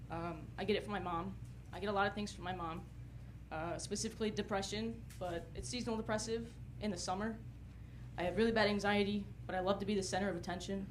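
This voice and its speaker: A woman with an American accent talks at a very fast pace, broken by long, frequent pauses. Audible room echo fills the recording. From North Carolina, US South. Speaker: stand-up comedian. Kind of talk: stand-up.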